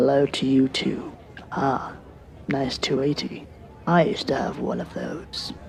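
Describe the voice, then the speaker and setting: A put-on character voice with a low-to-middle pitch moves at a moderate pace, taking long, frequent pauses over clear background noise. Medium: audio drama. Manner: frank, opinionated.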